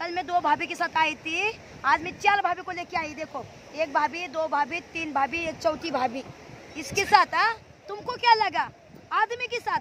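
A woman's extremely high-pitched voice with lively intonation at a fairly slow pace, over light background noise. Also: dry sound with no echo. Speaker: vlogger. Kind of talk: casual vlog chat, teasing. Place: beach. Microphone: phone near.

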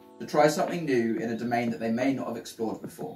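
Clear music plays behind a man's voice, with audible room echo. He keeps a fairly quick pace. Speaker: channel host. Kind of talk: casual announcement to camera. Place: home room.

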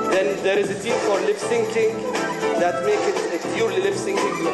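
Loud music plays in the background as the speech moves at a fairly quick pace. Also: man. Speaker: presenter. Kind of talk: conference presentation.

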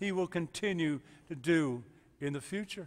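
With ordinary pitch variation, a man talks at a fairly unhurried speed. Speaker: pastor. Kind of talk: sermon. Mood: warm, encouraging. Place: church.

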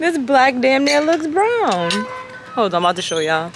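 There is noticeable background noise as a woman speaks, the sound dry with no echo. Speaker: vlogger. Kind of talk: casual vlog chat. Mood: playful, laughing, briefly annoyed. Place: street. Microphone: phone near.

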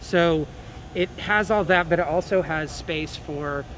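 Noticeable background noise sits behind a man with an American accent. His voice is high-pitched with fairly even intonation. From Oklahoma. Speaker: film studio entrepreneur. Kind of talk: news interview. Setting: on location in a convention arena.

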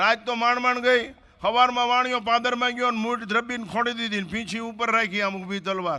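Noticeable background noise sits under a man's raised, projected voice, which is extremely high in pitch for a man and fairly even in intonation. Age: 70s. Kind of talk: religious discourse.

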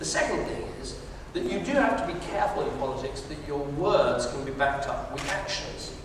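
A man is heard through strong room echo with noticeable background noise. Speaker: politician at town hall. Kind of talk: answer to audience question. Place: hall.

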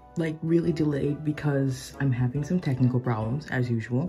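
A woman with a very deep, low voice talks at a moderate pace with ordinary pitch variation as faint music plays in the background. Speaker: toy collector vlogger. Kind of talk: casual vlog chat. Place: home room. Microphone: phone near.

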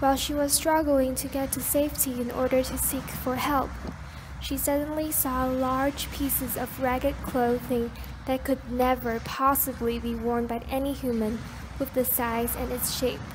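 Moderate-paced speech from a woman, with noticeable background noise behind her. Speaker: student presenter. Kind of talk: scripted faux-documentary narration, storytelling. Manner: measured, dramatic, storyteller pacing; formal, solemn, mysterious tone.

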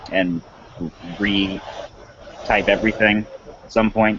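In a fairly low, monotone, flat voice, a man speaks at a very slow pace with light background noise. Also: dry sound with no echo. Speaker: podcast co-host. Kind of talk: panel discussion answer. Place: home room. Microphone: headset.

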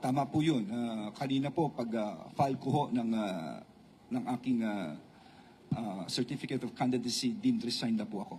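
The speaker is a man with a medium-pitched voice. He goes at a moderate pace with ordinary pitch variation. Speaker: politician. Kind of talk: press conference. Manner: halting.

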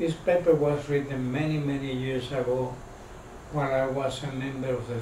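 Delivered with monotone, flat intonation, the voice carries audible room echo over light background noise. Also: man. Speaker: lecturer. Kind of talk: lecture. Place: meeting room. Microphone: camera far.

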